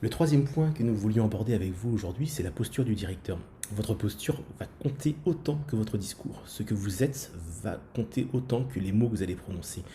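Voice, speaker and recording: Somewhat breathy and dark, mellow in tone, the voice moves at a fairly quick pace with lively intonation. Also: man, medium pitch for a man. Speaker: school principal and podcast co-host. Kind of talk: podcast discussion. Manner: fast.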